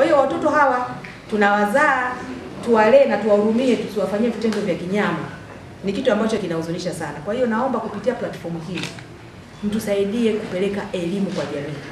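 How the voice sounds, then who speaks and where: With noticeable background noise and audible room echo, a woman speaks at a fairly quick pace. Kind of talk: public address to a meeting. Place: hall.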